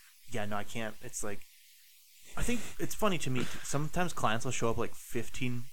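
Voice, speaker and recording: A man's unremarkable speaking voice at medium pitch, with ordinary pitch variation. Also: moderate pace. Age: 30s. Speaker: dog trainer. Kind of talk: casual chat.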